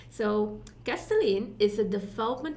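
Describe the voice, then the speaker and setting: A woman with a Dutch accent and fairly high pitch, with audible room echo. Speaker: summit co-host. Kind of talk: speaker introduction.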